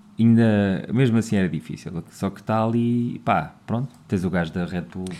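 Dark and mellow in tone, a man with fairly low pitch and ordinary pitch variation talks at a fairly slow pace. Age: 40s. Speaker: podcast co-host. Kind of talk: casual chat.

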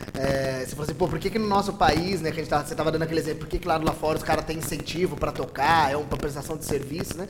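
Through noticeable background noise, a man talks very fast. His voice is fairly high, with ordinary pitch variation. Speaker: pedagogue and events worker. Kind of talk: casual chat.

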